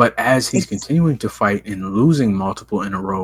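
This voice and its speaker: A man with an American accent has a plain, everyday voice at a fairly low pitch. He talks at a fairly quick pace with ordinary pitch variation. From Ohio. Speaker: MMA podcast host. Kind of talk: casual chat.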